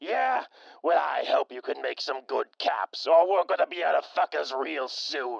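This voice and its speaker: At a moderate pace, the speaker uses a put-on character voice. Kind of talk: radio drama. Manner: angry, profane.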